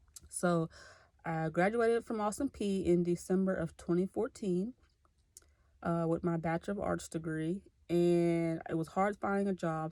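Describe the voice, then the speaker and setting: A woman with a Tennessee accent, her fairly low pitch and dark, mellow tone heard in a dry, close sound with no echo, at a moderate pace with fairly even intonation. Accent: US Southern (Tennessee). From Clarksville, Tennessee (US South). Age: 20s. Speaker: graduate student. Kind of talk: self-introduction video. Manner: casual, conversational.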